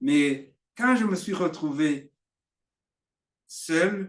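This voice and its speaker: The pace is very slow. Pitch swings very widely throughout. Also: man. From Burundi. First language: Kirundi (speaking French). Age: 60s. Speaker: preacher. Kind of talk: sermon. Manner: halting.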